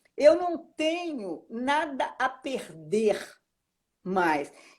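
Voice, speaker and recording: A woman's high-pitched voice with very wide pitch swings. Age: 70s. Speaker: actress and author. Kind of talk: interview. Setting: live stream. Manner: halting, many repetitions.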